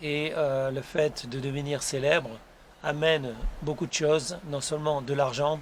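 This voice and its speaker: A man's fairly high voice stays monotone and flat as he talks fairly slowly. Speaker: YouTuber and author. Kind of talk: casual vlog monologue. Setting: outdoors on his terrace. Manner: soft-spoken; hesitant, many fillers.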